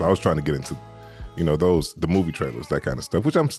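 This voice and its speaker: A man's very deep, low voice in a relaxed tone, with music in the background. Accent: American. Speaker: audiobook narrator and voice actor. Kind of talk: interview answer on a podcast. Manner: relaxed, conversational, chatty.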